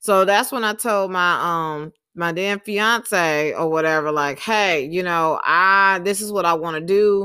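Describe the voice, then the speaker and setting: Recorded very cleanly with a silent background, a woman with a Southern US accent speaks at a fairly slow pace with hardly any pauses, her medium-pitched voice bright and sharp in tone with ordinary pitch variation. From US South, Alabama and Texas. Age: 20s. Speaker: podcast host and small business owner. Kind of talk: solo monologue podcast. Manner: casual, many filler words.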